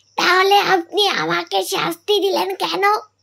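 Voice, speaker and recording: Using a cartoonish character voice, a woman speaks at an extremely high pitch. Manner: respectful.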